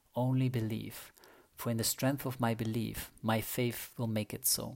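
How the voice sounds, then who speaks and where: At a moderate pace and medium pitch, a man talks in monotone, flat intonation in a very clean recording with a silent background. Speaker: podcast host. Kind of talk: guided meditation.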